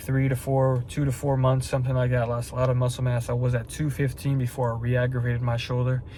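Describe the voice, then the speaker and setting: A man's medium-pitched, somewhat breathy voice, monotone and flat, at a fairly quick pace. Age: 20s. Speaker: fitness vlogger and online coach. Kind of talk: casual vlog talk to camera. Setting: at night, about to drive to the store. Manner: rambling, repetitive.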